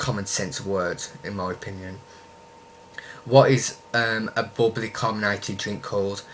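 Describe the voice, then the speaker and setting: A man speaks with a strong Birmingham accent at a fairly low pitch. His intonation stays fairly even, and there is noticeable background noise. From Birmingham, West Midlands, England. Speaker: YouTuber. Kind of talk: casual vlog, answering questions. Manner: hesitant, many ums.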